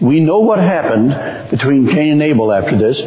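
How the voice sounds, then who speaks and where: The voice belongs to a man. Noticeable noise sits in the background. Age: 70s. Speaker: guest preacher, campus minister. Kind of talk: sermon. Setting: church.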